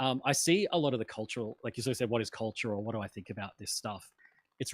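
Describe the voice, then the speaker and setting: Very fast and with an Australian accent, a man at a medium pitch is heard in a dry, close sound with no echo. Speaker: political commentator. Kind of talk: casual chat. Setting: live stream.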